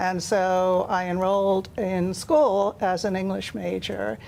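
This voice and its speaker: The woman's voice is medium-pitched, with an American accent. She talks at a very slow pace with fairly even intonation. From Ireland. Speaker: author. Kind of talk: TV interview.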